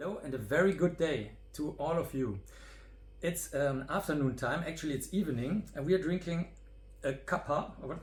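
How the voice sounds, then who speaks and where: A man's fairly high voice with vocal fry. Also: ordinary pitch variation, moderate pace. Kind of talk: casual interview talk to camera.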